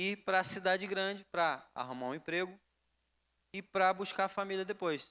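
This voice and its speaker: With a Rio de Janeiro accent, a man speaks in a raised, projected voice at a high pitch and fairly slow pace, his tone bright and sharp, on a very clean recording with a silent background. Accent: Carioca. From Rio de Janeiro, Brazil. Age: 20s. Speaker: preacher. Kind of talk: sermon.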